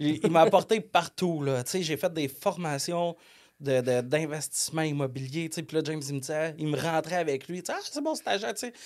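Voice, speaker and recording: A man with a Quebec accent speaks at a fairly quick pace in a fairly high pitch. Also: ordinary pitch variation. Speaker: software company co-owner. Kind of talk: casual podcast interview. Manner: loud.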